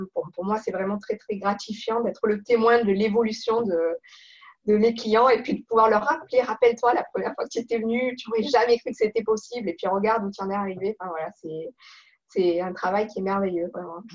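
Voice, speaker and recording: A woman talks at a fairly quick pace with a plain, everyday voice. Her pitch is fairly high, with ordinary pitch variation. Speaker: professional coach. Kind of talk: interview.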